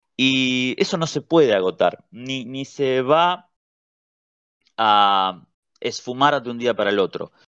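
Speaking very slowly with long, frequent pauses, a man in a Rioplatense accent keeps a medium pitch and ordinary pitch variation. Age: 30s. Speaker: writer and editor. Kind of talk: interview.

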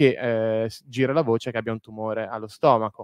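A man at a moderate pace, dry with no echo, over a quiet background. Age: 30s. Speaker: historian, author. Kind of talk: lecture; Q&A answers. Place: hall.

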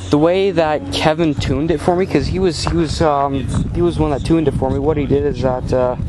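A man talks at a fairly quick pace. His voice sounds dry with no echo, over noticeable background noise. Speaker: tractor owner. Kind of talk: casual vlog commentary. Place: farm machine. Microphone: phone near.

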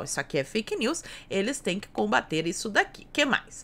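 A woman's fairly high, bright and sharp voice, animated, with vocal fry and a fairly quick pace. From Brazil. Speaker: political YouTuber. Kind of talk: political commentary video. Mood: sarcastic, critical. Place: home room.

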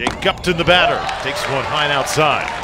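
Noticeable noise sits under a man's moderately paced talking. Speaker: play-by-play announcer. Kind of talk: live sports commentary, play-by-play. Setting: broadcast booth, ESPN3 stream. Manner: brisk, energetic, polished broadcaster delivery.

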